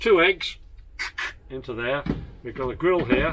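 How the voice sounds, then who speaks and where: A man talks at a moderate pace in a British accent. Noticeable background noise runs underneath. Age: 80s+. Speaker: former RAF navigator and aircraft tour guide. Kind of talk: guided tour. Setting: inside aircraft with visitors. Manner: animated.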